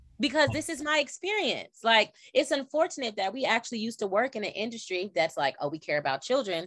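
Her pace very fast with hardly any pauses, a woman uses a fairly high pitch, very wide pitch swings and vocal fry. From California. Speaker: podcast host and former teacher. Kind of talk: casual chat. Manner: animated.

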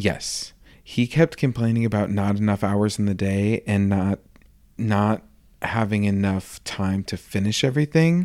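Recorded very cleanly with a silent background, a man with a fairly low pitch speaks at a fairly slow pace with ordinary pitch variation in an unremarkable speaking voice. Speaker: podcast host. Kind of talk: casual chat, recapping a TV series.

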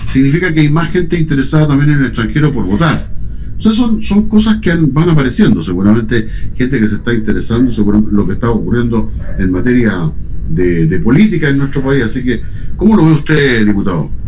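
Moving at a fairly quick pace, a man talks while the room lends an audible echo. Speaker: radio host. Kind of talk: radio interview. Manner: halting.

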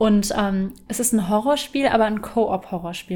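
Her intonation holds fairly even. The speaker is a woman. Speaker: podcast co-host. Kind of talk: casual chat.

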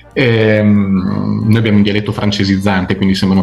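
A man's fairly low voice at a fairly quick pace, with noticeable background noise. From Italy, Emilian Apennines (Zocca). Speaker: crime novelist. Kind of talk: interview.

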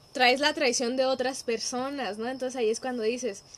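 Over noticeable background noise, a woman with a Mexican accent speaks at a moderate pace and a high pitch. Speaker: psychologist. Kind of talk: casual chat.

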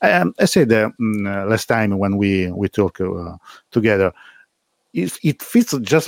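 Recorded very cleanly against a silent background, a man talks at a fairly slow pace in a dry, close sound with no echo. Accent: Italian. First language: Italian. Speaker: live stream host. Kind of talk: live stream interview.

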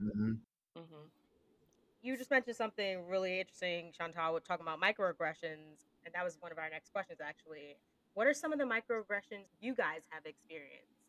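A woman with an American accent speaks at a fairly quick pace and a fairly low pitch, her pitch swinging very widely and her loudness shifting a lot, in a dry, close sound with no echo. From United States. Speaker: podcast host. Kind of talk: casual conversational podcast chat. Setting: working in the UK.

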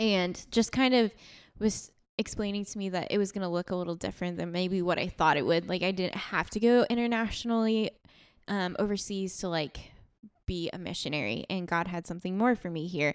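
In a very clean recording with a silent background, a woman talks at a fairly quick pace in an unremarkable speaking voice, medium in pitch with ordinary pitch variation. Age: 20s. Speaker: podcast host, campus ministry worker. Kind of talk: casual chat.

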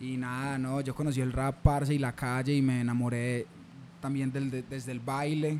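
Here a man talks at a medium pitch with monotone, flat intonation. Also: moderate pace. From Colombia, Medellín (Antioquia). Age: 20s. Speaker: rapper. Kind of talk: casual chat.

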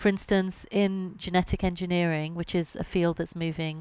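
With a British accent, a woman speaks at a moderate pace in a fairly low, monotone voice with flat intonation, on a very clean recording over a silent background. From Britain. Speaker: science journalist and author. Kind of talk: interview.

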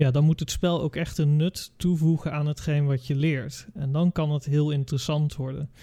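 A man with a fairly high pitch and a dark, mellow, somewhat breathy tone talks in a monotone, flat way with hardly any pauses, on a very clean recording with a silent background. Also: moderate pace. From Curaçao. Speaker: design teacher. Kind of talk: casual chat.

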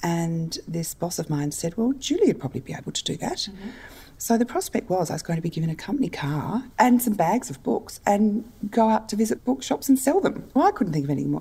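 A woman with an Australian accent speaks in a dark, mellow tone. Her voice is somewhat breathy and her pitch swings very widely. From Australia, Adelaide. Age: 50s. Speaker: book publisher. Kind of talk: interview.

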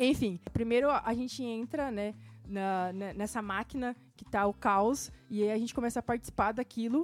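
Her pitch runs fairly high with ordinary variation as this woman, with an ordinary speaking voice, talks at a moderate pace. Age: 20s. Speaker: podcast co-host. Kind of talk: casual chat.

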